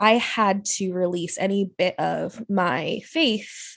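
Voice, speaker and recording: A plain, everyday voice with fairly even intonation over a quiet background. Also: woman. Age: 30s. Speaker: podcaster and educator. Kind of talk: casual interview.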